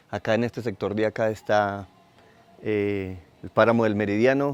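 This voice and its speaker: A man speaks at a fairly low pitch. His pace is moderate and his intonation monotone and flat. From Colombia, southern Tolima. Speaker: community leader. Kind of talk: testimony.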